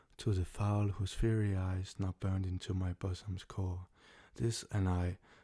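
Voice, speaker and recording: A soft-spoken man talks at a fairly slow pace with a very deep, low pitch and a dark, mellow, somewhat breathy tone. His intonation is monotone and flat, his loudness very even, and the recording very clean with a silent background. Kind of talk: ASMR poetry reading.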